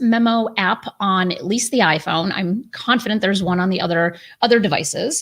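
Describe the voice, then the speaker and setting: A woman's somewhat breathy voice is heard on a very clean recording with a silent background. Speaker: publisher and writing coach. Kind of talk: tutorial. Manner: fast.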